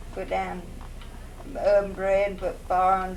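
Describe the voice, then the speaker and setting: An Appalachian accent at a moderate pace. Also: woman. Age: 80s+. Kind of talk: storytelling.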